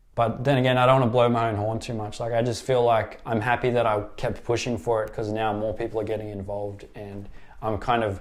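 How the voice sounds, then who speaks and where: Relaxed male voice with an Australian accent and monotone, flat intonation. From South-West Sydney, Australia. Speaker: skateboarding vlogger and tattoo artist. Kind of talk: interview answer. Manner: casual, relaxed.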